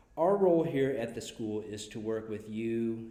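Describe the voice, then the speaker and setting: In a room with audible echo, a man at medium pitch speaks at a fairly slow pace with lively intonation and a dark, mellow tone. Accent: American. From US Midwest. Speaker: school counselor. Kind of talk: prepared speech to parents. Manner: formal.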